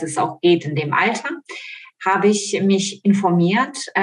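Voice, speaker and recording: A woman speaks at a fairly slow pace in a Ukrainian accent, her medium pitch moving with ordinary variation. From Ukraine. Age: 40s. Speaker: model and coaching participant. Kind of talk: casual interview. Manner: hesitant with frequent fillers.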